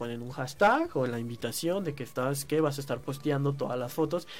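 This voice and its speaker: With a Mexican accent, a man of fairly high pitch talks at a moderate pace with ordinary pitch variation. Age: 30s. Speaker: online community manager. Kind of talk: casual chat.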